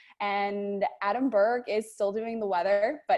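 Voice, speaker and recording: A woman speaks with an American accent. Her pitch is medium, and the background is quiet. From New York (Long Island). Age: 20s. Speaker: TV news anchor. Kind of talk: presentation to a group.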